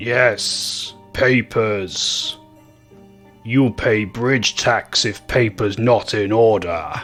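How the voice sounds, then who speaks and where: Faint music plays behind a man doing a rumbling put-on character voice at medium pitch and a very slow pace. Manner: stern, threatening.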